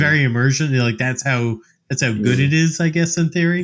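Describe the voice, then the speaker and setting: An ordinary speaking voice with lively, bouncing intonation. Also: man. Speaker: podcast co-host. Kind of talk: casual podcast conversation.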